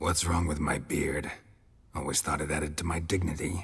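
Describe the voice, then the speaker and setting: This is a put-on character voice with a raspy quality. The intonation stays monotone and flat. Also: man, very deep, low pitch for a man, moderate pace. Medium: video game. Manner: laconic, sarcastic.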